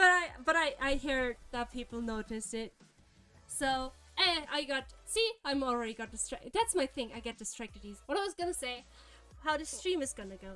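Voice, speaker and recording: A high-pitched woman in a raised, projected voice with a slight German accent, at a fairly quick pace, with very wide pitch swings, big swings in loudness and music in the background. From Germany. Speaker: vtuber streamer. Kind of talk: live stream chat. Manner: fast; animated.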